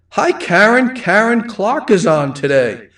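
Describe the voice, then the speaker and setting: The speaker talks with a strong Rhode Island accent. The pitch swings very widely. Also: man. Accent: thick Rhode Island. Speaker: livestream host. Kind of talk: casual chat. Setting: livestream.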